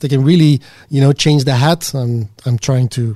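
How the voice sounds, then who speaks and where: A man talks at a moderate pace in a somewhat breathy voice with a dark, mellow tone. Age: 40s. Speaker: software architect and consultant. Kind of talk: casual interview.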